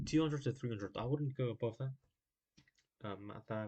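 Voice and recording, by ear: The man's tone is slightly mellow. He keeps a moderate pace and fairly even intonation.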